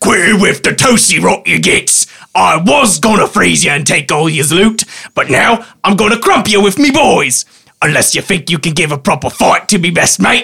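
A man puts on a character voice that is raspy and high in pitch. He keeps a moderate pace. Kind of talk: rough, slangy. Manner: menacing, threatening.

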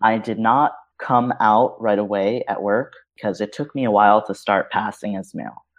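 An American-accented man speaks at a moderate pace and fairly low pitch. He has an unremarkable speaking voice. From New York City. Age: 30s. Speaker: web designer. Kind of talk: casual interview.

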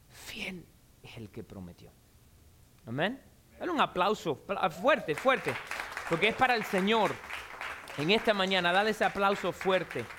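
A raised, projected voice at a fairly slow pace, with long, frequent pauses, big swings in loudness and crowd noise in the background. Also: man, high pitch for a man, lively intonation. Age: 40s. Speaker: pastor. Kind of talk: sermon. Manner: animated.

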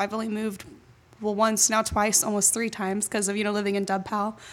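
With noticeable background noise, a woman speaks at a fairly high pitch with an American accent. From Jacksonville, Florida. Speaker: college student and incoming intern. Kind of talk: interview, casual conversational.

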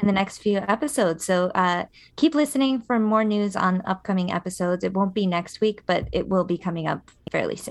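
A normal speaking voice from a woman, medium in pitch with ordinary pitch variation, at a fairly quick pace over a quiet background. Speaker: podcast co-host. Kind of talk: casual chat.

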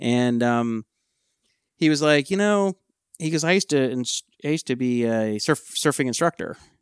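Speaking with an American accent and lively intonation, the voice leaves long, frequent pauses in a dry, close recording with no echo. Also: man, medium pitch for a man, moderate pace. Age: 50s. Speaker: podcast co-host, tech entrepreneur. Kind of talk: casual chat.

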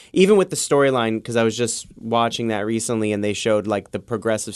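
With a New York accent, a man speaks at a very fast pace in a fairly low pitch over a quiet background. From the Bronx, New York City. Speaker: wrestling podcast co-host. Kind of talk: casual chat.

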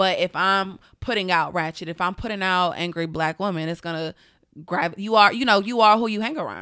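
Talking at a fairly quick pace, a woman with a Southern US accent, medium pitch and a bright, sharp tone uses ordinary pitch variation in a very clean recording with a silent background. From US South, Atlanta, Georgia. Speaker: publicist. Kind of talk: casual chat.

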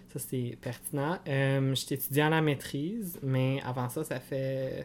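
A plain, everyday voice from a man, medium in pitch, with fairly even intonation and a fairly slow pace. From Franco-Ontarian, Cornwall, Ontario. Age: 30s. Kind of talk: casual interview chat.

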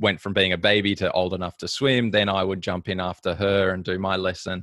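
This man speaks with an Australian accent. His pitch is fairly low. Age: 30s. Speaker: professional triathlete. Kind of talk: casual interview chat.

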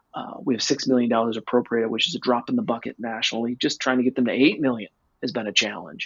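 Here a man talks at a very fast pace. His pitch is medium, with ordinary variation. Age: 40s. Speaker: music label executive. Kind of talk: casual chat. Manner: halting.

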